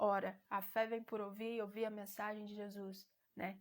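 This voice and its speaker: A woman's voice at a medium pitch. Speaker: lay preacher hosting a live stream. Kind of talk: sermon-style teaching on a live stream. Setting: live stream with chat.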